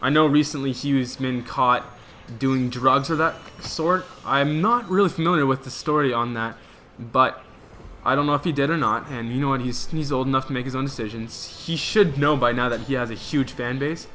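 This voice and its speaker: Someone with a Quebec accent speaks at a moderate pace, with noticeable background noise. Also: man, medium pitch for a man, ordinary pitch variation. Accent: French-Canadian accent in English. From Canada, French-speaking. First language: French. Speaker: gaming commentator. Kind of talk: casual gameplay commentary. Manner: halting, with frequent false starts.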